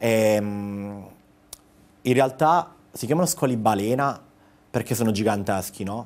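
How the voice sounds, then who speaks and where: This is a man with an unremarkable speaking voice. His pitch is fairly low. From Apulia, Italy (Gioia del Colle, province of Bari); Apulia, Italy. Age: 30s. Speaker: travel blogger. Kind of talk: casual TV interview. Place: studio. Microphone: lapel.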